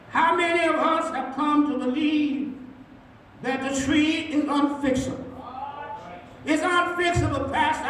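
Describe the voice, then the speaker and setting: The speech moves at a fairly slow pace, broken by long, frequent pauses. Audible room echo and light background noise surround it. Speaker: senior pastor. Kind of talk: sermon. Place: church.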